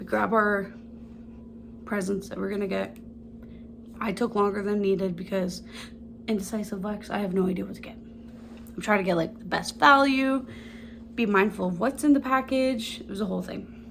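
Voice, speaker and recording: A woman with a medium pitch and vocal fry speaks with ordinary pitch variation, long and frequent pauses, and big swings in loudness, with audible room echo. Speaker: lifestyle vlogger. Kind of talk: casual chat. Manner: fast; animated.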